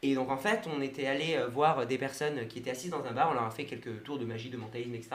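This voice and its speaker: A man speaks at a very fast pace and medium pitch with ordinary pitch variation, amid audible room echo and noticeable background noise. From Brest, Brittany, France. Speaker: mentalist and hypnotist. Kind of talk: radio interview.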